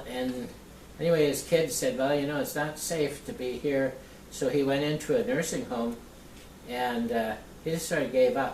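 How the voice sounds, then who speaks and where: Noticeable background noise runs under speech at a moderate pace broken by long, frequent pauses. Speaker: local history interviewer. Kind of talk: casual conversation.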